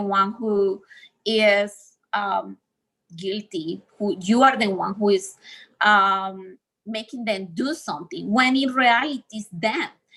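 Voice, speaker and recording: Her tone bright and sharp, a woman with a non-native accent speaks at a fairly high pitch with ordinary pitch variation. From Colombia. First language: Spanish. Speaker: speaker on healing from abusive relationships. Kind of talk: talk in a livestreamed session.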